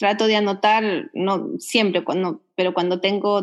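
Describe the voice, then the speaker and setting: A woman with a Uruguayan accent talks at a fairly slow pace and a fairly high pitch against a quiet background. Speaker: winemaker. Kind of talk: interview. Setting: remote call.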